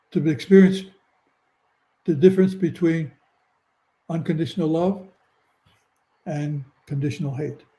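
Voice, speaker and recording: A man with a high pitch, a dark, mellow tone, fairly even intonation, and a moderate pace, plus big swings in loudness and long, frequent pauses. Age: 80s+. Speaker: near-death experiencer. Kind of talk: interview. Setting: live video stream.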